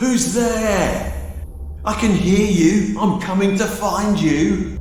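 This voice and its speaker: A man puts on a character voice at a high pitch and a very slow pace. A clear echo follows his words. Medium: read story.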